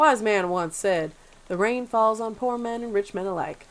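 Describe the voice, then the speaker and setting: Her voice sits at a medium pitch, and the woman moves at a moderate pace with ordinary pitch variation. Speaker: let's play gamer. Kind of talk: casual let's play commentary with reading of game text. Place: home room. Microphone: headset.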